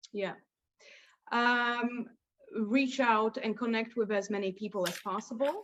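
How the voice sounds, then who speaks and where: A woman with a Polish accent speaks at a fairly high pitch and a fairly slow pace, with fairly even intonation and long, frequent pauses. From Poland. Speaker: lawyer. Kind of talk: interview.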